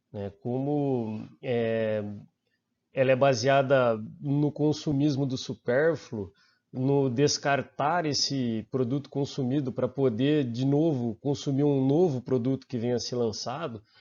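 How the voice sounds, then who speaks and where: A man with a Brazilian accent, medium pitch and fairly even intonation at a very slow pace. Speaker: master's student and researcher. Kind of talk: conference presentation. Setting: online conference. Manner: hesitant, many fillers.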